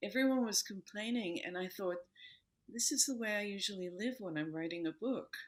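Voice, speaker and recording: A woman talks in an American accent at a fairly quick pace. Her pitch is medium and her intonation lively. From New York City, US. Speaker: yoga teacher and author. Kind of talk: interview. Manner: calm.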